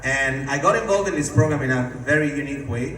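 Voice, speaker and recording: A man with a fairly high pitch speaks very fast in an Italian accent. The recording has audible room echo and noticeable background noise. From Italy. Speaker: network marketing distributor. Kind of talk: sales pitch. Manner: casual, animated.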